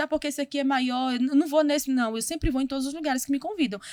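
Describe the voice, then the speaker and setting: The speaker is a woman. Her voice sits high in pitch. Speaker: missionary, preacher and theologian. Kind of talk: interview conversation. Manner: fast.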